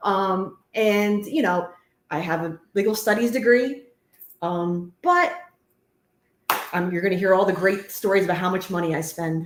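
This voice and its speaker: Speaking at a fairly slow pace with long, frequent pauses, the voice shows ordinary pitch variation. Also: woman, medium pitch for a woman. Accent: New Jersey. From New Jersey, Woodbridge Township. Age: 40s. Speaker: host's wife, cleaning business owner. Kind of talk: casual chat.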